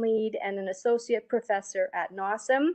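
A woman's slightly mellow tone sits at a medium pitch.

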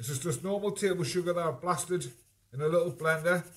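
The man's voice has a bright, sharp tone. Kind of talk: cooking tutorial. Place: kitchen.

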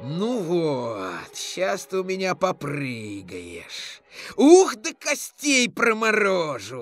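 A woman puts on a character voice at medium pitch, speaking very slowly while faint music plays in the background. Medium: read story. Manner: cocky, eager, mischievous.

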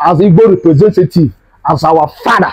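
Over a quiet background, a man talks in a high voice with ordinary pitch variation. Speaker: tour guide vlogger. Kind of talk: casual vlog chat. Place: garden. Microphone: lapel.

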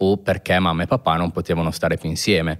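A quiet background and a man speaking at a very fast pace. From northern Italy, Pavia province (Lombardy). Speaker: sneaker restorer. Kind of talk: casual interview chat. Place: studio. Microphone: studio mic.

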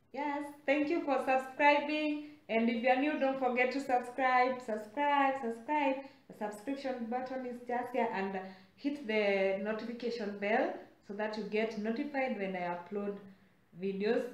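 The speech moves at a fairly slow pace with ordinary pitch variation. Room echo is audible, and background noise is noticeable. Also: woman, high pitch for a woman. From Kenya, central (Limuru area). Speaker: vlogger. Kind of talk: casual vlog talk to camera.

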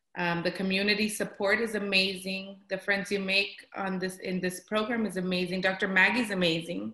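A woman with an American accent, monotone, flat intonation, a moderate pace, hardly any pauses and audible room echo. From South Texas. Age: 30s. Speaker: patient. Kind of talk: testimony. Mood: earnest, positive about the program. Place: home room. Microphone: webcam.

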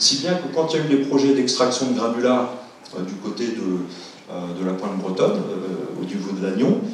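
A man at a moderate pace with lively intonation, strong room echo and light background noise. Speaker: scientist giving a public lecture. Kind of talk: lecture. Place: hall.

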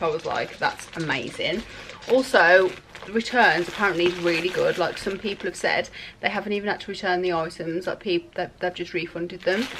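With music in the background, a woman talks at a moderate pace and a fairly low pitch, using ordinary pitch variation. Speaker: lifestyle vlogger. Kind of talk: casual vlog chat. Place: home room. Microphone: phone near.

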